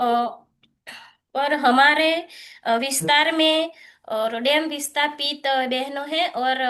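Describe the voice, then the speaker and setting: With long, frequent pauses, a woman speaks at a high pitch in a bright, sharp tone and fairly even intonation. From Gujarat. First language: Gujarati (speaking Hindi). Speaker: cooperative member. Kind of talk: webinar talk. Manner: halting.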